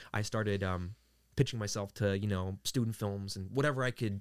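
In a very clean recording with a silent background, a man with an ordinary speaking voice talks at a fairly low pitch and moderate pace, his intonation fairly even. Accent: American. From US Northeast, Queens, New York. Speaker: voice actor. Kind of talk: casual chat.

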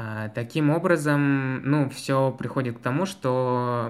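The speaker is a man with ordinary pitch variation. He talks at a very slow pace. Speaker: student podcast host. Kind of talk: casual chat.

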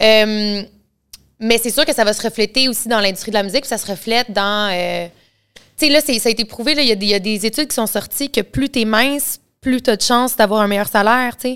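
In a Quebec accent, a woman talks at a fairly quick pace with a fairly high pitch and ordinary pitch variation, recorded very cleanly against a silent background. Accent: Québécois French. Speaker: singer. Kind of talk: casual interview.

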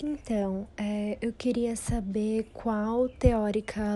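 With a dark, mellow tone, a woman speaks at a medium pitch with fairly even intonation. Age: young. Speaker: podcast listener. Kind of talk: casual chat.

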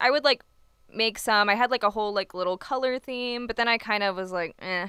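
An ordinary speaking voice from a woman with an American accent, medium in pitch, at a fairly quick pace. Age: 20s. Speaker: poet. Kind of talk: casual chat.

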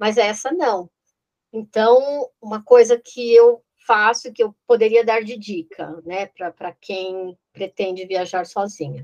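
Speaking at a very slow pace, a woman with a fairly high pitch and ordinary pitch variation shows big swings in loudness, in a dry, close sound with no echo. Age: 50s. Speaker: real estate consultant. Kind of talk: interview. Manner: halting.

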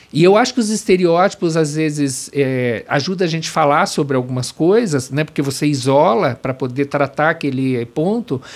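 A man talks in a normal speaking voice with lively intonation. He leaves hardly any pauses. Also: fairly high pitch for a man, moderate pace. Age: 50s. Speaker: corporate trainer and consultant. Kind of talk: interview.

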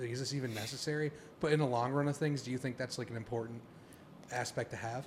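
Speaking at a very fast pace, a man with a medium-pitched, somewhat breathy voice keeps his intonation fairly even. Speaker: podcast co-host. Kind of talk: casual chat.

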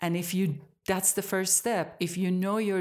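An Iranian accent on a very clean recording with a silent background. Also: woman. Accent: Iranian (Persian) accent in English. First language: Persian. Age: 60s. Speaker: yoga teacher and studio owner. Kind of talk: interview.

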